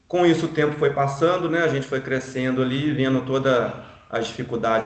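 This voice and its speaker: A man talks in a normal speaking voice at medium pitch, with a moderate tempo and fairly even intonation. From Brazil, Minas Gerais (Juiz de Fora). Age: 40s. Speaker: real estate broker. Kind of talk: life story testimony. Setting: online live stream.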